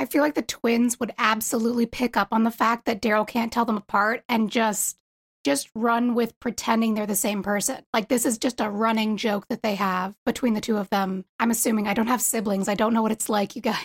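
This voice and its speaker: A woman with an American accent speaks fairly quickly in a fairly high pitch, somewhat breathy, with fairly even intonation and very even loudness. The sound is dry and close with no echo, on a very clean recording with a silent background. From US East Coast. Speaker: fan artist. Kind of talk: casual chat.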